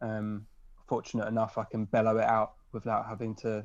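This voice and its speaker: The speaker is a man. His pitch sits at a medium level. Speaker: punk band drummer and singer. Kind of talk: casual interview chat. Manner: loud.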